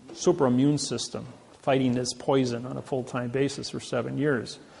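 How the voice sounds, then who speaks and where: A man with an American accent speaks at a fairly quick pace and medium pitch, his intonation fairly even. Noticeable background noise runs underneath. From Indiana, US Midwest. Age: 60s. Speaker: lecturer. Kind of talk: lecture.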